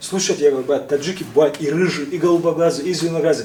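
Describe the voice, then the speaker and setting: Noticeable background noise surrounds a man with a high pitch and a slight Caucasian accent. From Tajikistan. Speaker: interviewee, prankster blogger just released from custody. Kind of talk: casual interview. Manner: halting.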